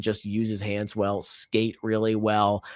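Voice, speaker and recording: A man speaks on a very clean recording with a completely silent background. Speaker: hockey podcast host. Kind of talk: solo podcast commentary. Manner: animated.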